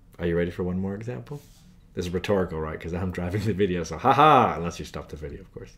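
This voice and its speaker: The speaker is a man. He talks at a very fast pace. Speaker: math tutor. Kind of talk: tutorial.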